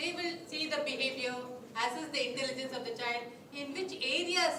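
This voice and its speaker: A woman uses a raised, projected voice at a high pitch, with ordinary pitch variation. She keeps a moderate pace, and the room echo is audible. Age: 60s. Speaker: psychology speaker. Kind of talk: lecture.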